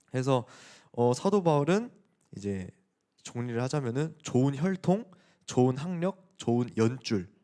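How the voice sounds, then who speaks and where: Lively intonation and a dark, mellow tone come through at a fairly slow pace with long, frequent pauses, in a very clean recording with a silent background. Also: man, medium pitch for a man. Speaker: youth pastor. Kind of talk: sermon. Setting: church youth service. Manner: casual, conversational with teens.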